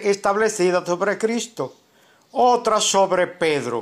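The speech moves at a very slow pace with lively intonation. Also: man. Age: 70s. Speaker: pastor. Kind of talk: denunciation monologue. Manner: forceful.

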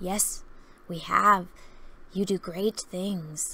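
A woman's put-on character voice at a medium pitch, delivered at a very slow pace. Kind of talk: excitable, childlike. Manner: eager, chattering, endless questions.

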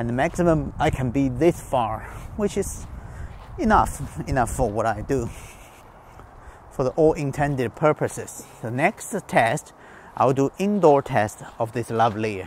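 Delivered at a fairly slow pace, the speech has lively intonation. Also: man, medium pitch for a man.

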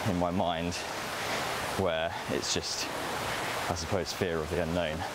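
Loud background noise is present. A man talks in a dry sound with no echo. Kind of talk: casual vlog chat. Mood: relaxed, reflective. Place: forest. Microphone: camera far.

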